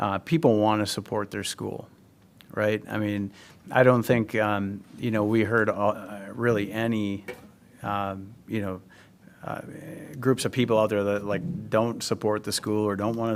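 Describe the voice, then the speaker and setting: A man talks at a fairly slow pace in a flat, monotone way, with long, frequent pauses. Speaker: community committee member presenting to school board. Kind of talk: public meeting presentation. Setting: school board meeting. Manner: hesitant, many fillers.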